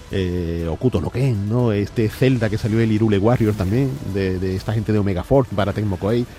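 With an ordinary speaking voice, a man of fairly low pitch talks at a moderate pace with ordinary pitch variation and hardly any pauses. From Andalusia, Barbate (Cádiz). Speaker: video game expert commentator. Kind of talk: casual chat.

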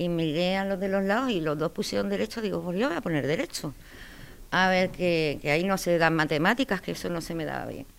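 A woman with fairly low pitch, lively intonation and a fairly quick pace on a very clean recording with a silent background. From Spain, moved around (Andalusian family, grew up partly in Galicia, Cartagena, Madrid). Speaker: military judge, army colonel. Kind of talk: interview. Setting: office at a military court. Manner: hesitant, many fillers.

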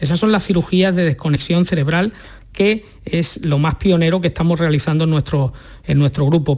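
The speaker is a man. His pitch is high. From Andalusia, Huelva province. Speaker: neurologist. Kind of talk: radio interview.

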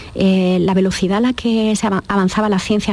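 Noticeable background noise behind a woman's fairly even intonation. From Andalusia, Jaén. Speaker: biochemist and consultant. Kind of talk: radio interview. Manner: halting, many fillers.

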